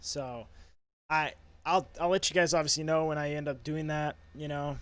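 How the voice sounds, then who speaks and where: Against a silent background in a very clean recording, a man with an American accent speaks at a fairly high pitch with fairly even intonation. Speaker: youtuber. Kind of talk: casual storytime vlog. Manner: fast.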